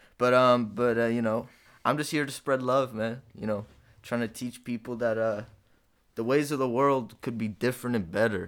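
A man with an American accent speaks in a normal speaking voice at a medium pitch and moderate pace, his intonation fairly even, on a very clean recording with a silent background. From Detroit, US Midwest. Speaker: rapper and comedian. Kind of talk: casual chat.

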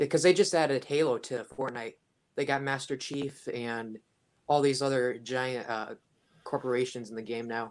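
A man talks in a normal speaking voice with an American accent, at medium pitch. His pace is moderate and his pitch variation ordinary. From Washington State. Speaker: viewer asking questions. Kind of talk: casual questions on live stream. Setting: call into live stream.

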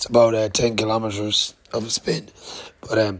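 A man with a fairly low pitch and an Irish accent. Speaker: podcaster, cycle traveller. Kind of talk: casual vlog monologue. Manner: hesitant, many fillers.

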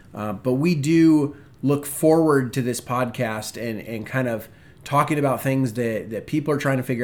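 At a moderate pace, a man with an American accent talks in a normal speaking voice. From US Pacific Northwest, Spokane, Washington. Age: 30s. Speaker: podcast co-host, church ministry leader, former Marine. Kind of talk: casual chat.

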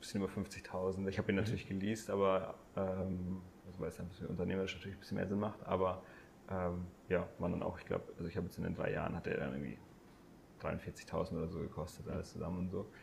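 A very fast, somewhat breathy man with a very deep, low pitch and fairly even intonation. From Bavaria, Landsberg am Lech area. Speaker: breathwork and mindfulness coach. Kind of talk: casual interview conversation. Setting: in person at host's home. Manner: hesitant, many fillers.

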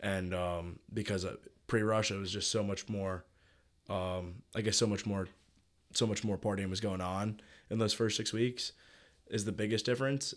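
Fairly low male voice with fairly even intonation at a moderate pace, long and frequent pauses, on a very clean recording with a silent background. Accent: American. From New York City. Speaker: university student. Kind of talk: interview.

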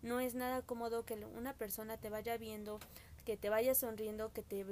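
Noticeable background noise runs beneath speech delivered at a moderate speed. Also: woman. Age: 20s. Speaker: podcast guest. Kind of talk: casual chat.

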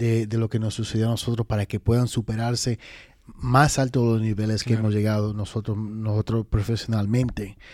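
Over a silent background on a very clean recording, a man with a medium pitch talks at a fairly quick pace in monotone, flat intonation. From Dominican Republic, raised in New York (Manhattan and the Bronx). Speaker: podcast co-host. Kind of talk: casual interview chat.

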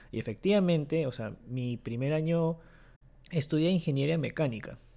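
Lively intonation runs through a dark, mellow tone with a non-native accent, captured in a very clean recording against a silent background. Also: man. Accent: non-native Spanish, occasional grammar slips. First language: Japanese (speaking Spanish). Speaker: podcast host. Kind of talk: casual chat.

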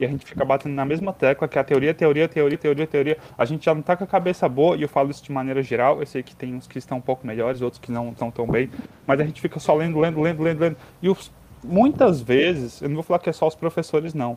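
At a very fast pace, a man with a fairly high pitch and ordinary pitch variation speaks in a dry, close sound with no echo. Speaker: geology student. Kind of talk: casual chat.

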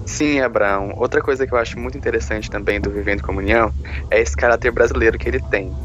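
A fairly low-pitched man at a very fast pace, with very wide pitch swings and noticeable background noise. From Brazil, Goiás (Caldas Novas). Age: 20s. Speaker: podcast co-host, nursing student. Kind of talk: casual chat.

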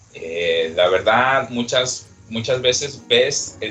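A man speaks with music playing in the background. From Acapulco, Mexico. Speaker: bar manager. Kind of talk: casual chat.

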